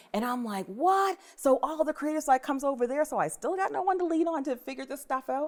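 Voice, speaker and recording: The speech moves at a fairly quick pace with lively intonation. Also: woman, high pitch for a woman. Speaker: writer. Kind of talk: casual chat. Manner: fast.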